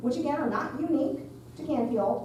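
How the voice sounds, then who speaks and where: A woman speaks loudly at a high pitch, with audible room echo and noticeable background noise. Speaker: architect. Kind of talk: presentation at community meeting. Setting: school cafeteria with audience.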